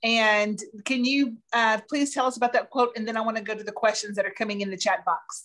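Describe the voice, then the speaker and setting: A plain, everyday voice moves at a fairly quick pace with fairly even intonation. The background is quiet. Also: woman, fairly high pitch for a woman. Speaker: online show co-host. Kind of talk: interview show hosting. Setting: video call. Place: home room. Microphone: webcam.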